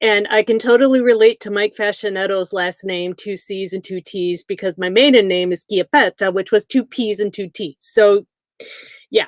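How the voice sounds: In a Midwestern American accent, a woman talks at a moderate pace and a medium pitch. Her pitch varies in an ordinary way, and the sound is dry and close with no echo.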